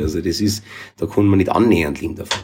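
A dark, mellow tone comes through in a Bavarian accent with ordinary pitch variation. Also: man. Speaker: reggae musician. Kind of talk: casual chat.

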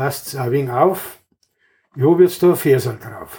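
A fairly high-pitched man with a Bavarian accent. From Bavaria, Wartenberg. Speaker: retired carpenter and local musician. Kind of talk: reading own poem aloud; casual interview. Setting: club room in his home.

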